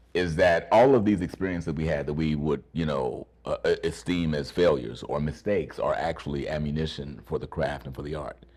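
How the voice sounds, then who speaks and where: A man speaks with a very deep, low pitch and vocal fry. He goes at a fairly quick pace. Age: 60s. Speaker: actor and acting teacher. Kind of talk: interview.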